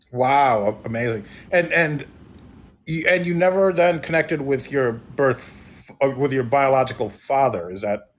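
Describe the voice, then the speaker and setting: A man speaks at a moderate pace in a plain, everyday voice with lively intonation. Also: fairly high pitch for a man. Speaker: podcast host. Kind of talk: podcast interview host.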